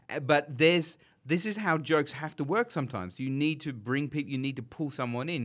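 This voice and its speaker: A man's fairly high voice in an Australian accent, fairly quick and lively in intonation, on a very clean recording with a silent background. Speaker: podcast host, filmmaker. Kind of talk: casual film discussion; scripted narration.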